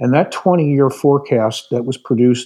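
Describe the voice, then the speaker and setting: A man speaks at a medium pitch with a dark, mellow tone and ordinary pitch variation. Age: 60s. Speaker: retired aerospace executive and advisor. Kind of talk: podcast interview.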